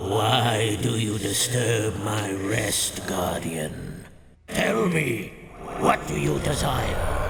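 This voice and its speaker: A man puts on a character voice, pitched fairly low and moving at a very slow pace. Clear background noise and a clear echo surround him. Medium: machinima. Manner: formal, archaic, commanding.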